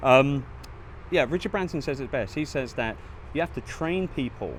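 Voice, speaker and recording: Speaking with a British accent, a man talks at a moderate pace, his fairly high pitch moving with ordinary variation. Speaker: entrepreneur, author. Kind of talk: interview answer.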